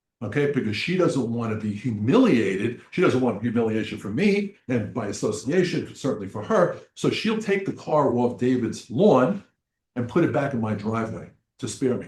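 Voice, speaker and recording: The somewhat breathy voice carries lively intonation at a moderate pace. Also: man, medium pitch for a man. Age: 70s. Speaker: addiction counselor. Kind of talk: presentation. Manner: repetitive, halting.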